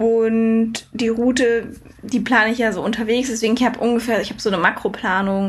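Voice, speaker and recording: A woman talks at a moderate speed in an ordinary speaking voice, her pitch fairly high. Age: 20s. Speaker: long-distance cycle traveller. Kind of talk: casual interview.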